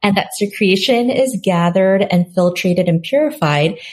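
A woman with an American accent speaks at a medium pitch and a moderate pace. Her voice is somewhat breathy, and her intonation is lively. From South Korea and New York. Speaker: skincare entrepreneur. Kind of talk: interview.

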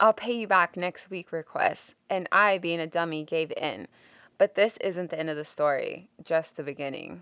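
Against a quiet background, a woman with a fairly low voice and a bright, sharp tone speaks at a moderate pace with ordinary pitch variation in a dry, close sound with no echo. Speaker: podcast host. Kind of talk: casual chat.

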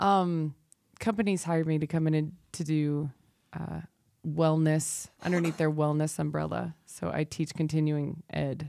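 Speaking in an American accent, a woman with a very deep, low pitch and a dark, mellow tone talks at a fairly slow pace in a monotone, flat intonation. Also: very clean recording, silent background. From US South. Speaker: dance teacher and wellness instructor. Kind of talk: casual chat.

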